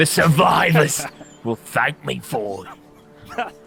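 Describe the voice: A man's put-on character voice, slow, bright and sharp, with vocal fry and a husky, rough edge, faint music in the background. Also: fairly high pitch for a man, lively intonation.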